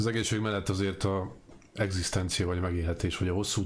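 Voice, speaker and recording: Over light background noise, a man with a very deep, low pitch talks very fast in a monotone, flat way, his voice somewhat breathy. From Hungary. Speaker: interviewer. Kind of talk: interview. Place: home room.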